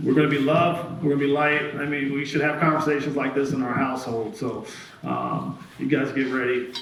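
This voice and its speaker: With noticeable background noise and audible room echo, a man talks at a fairly quick pace in a fairly high voice. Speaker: event host, person in long-term recovery. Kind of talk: live event interview. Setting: stage with audience. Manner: loud.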